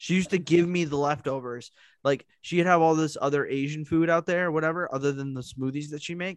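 A man talks at a fairly quick pace in a normal speaking voice. His pitch is fairly high and his intonation fairly even. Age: 20s. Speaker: podcast host. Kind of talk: casual chat.

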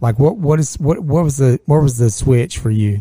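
In a very clean recording with a silent background and a dry, close sound without echo, a man with a fairly high pitch and a dark, mellow, somewhat breathy tone talks at a fairly quick pace with lively intonation. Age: 40s. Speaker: podcast host. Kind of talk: casual chat.

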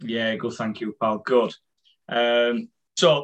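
A man talks in a northern English accent. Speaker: fan event host. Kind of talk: casual interview. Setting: video call.

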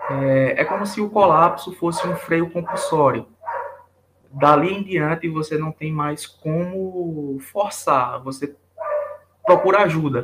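A man with a high voice speaks at a very slow pace with ordinary pitch variation. Long, frequent pauses break up his speech. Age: 20s. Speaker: engineering student, burnout patient. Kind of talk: testimony interview.

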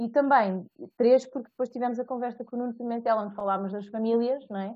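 A woman speaks very fast in a fairly high voice. Her intonation stays fairly even. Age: 20s. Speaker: podcast host. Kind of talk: casual chat.

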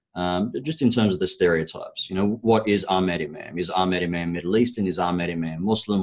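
A man in an Australian accent speaks with a very deep, low pitch and ordinary pitch variation. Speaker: property investment strategist. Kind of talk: podcast interview.

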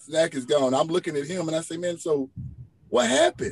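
Fairly high male pitch, with ordinary pitch variation. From East Texas (Rusk). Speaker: podcast co-host. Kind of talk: casual chat. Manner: animated.

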